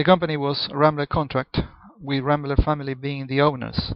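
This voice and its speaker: Speaking at a moderate pace, a man with a Spanish accent has a fairly high pitch. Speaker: accountant. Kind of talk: personal monologue video. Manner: halting, many false starts.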